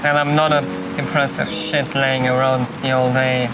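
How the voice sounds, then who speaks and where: There is audible room echo and noticeable background noise. Through it, a man speaks with a fairly high pitch. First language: not English. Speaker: vlogger. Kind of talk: casual vlog monologue. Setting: outdoors walking with dog. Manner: hesitant, with fillers.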